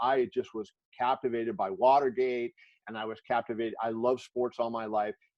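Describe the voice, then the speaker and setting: A man talks at a moderate pace in an ordinary speaking voice with medium pitch. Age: 60s. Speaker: sports journalist. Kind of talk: interview in a virtual class.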